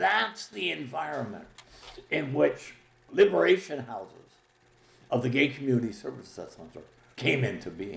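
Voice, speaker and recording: A man at a moderate pace, with very wide pitch swings, big swings in loudness and long, frequent pauses. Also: medium pitch for a man. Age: 80s+. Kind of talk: documentary interview.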